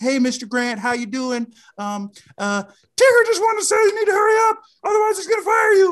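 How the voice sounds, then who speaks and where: A put-on character voice with an extremely high pitch moves at a moderate pace. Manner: playful, teasing.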